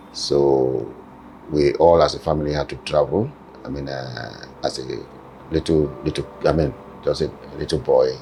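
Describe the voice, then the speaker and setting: With a Nigerian accent, a man talks at a moderate pace with long, frequent pauses over noticeable background noise. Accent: Nigerian (Yoruba) English. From Nigeria, Kwara (Yoruba area). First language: Yoruba (first spoke Hausa). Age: 70s. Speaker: father telling his life story. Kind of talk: family interview. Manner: halting.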